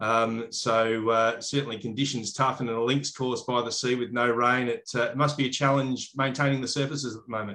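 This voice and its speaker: A man with an Australian accent speaks at a fairly quick pace with hardly any pauses. His pitch is medium and his intonation fairly even. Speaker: podcast host, turf company manager. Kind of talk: casual interview.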